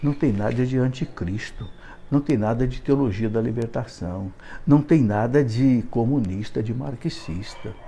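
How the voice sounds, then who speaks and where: This man's voice is somewhat breathy, with a dark, mellow tone and medium pitch. He talks at a fairly slow pace with ordinary pitch variation. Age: 70s. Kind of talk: live video monologue.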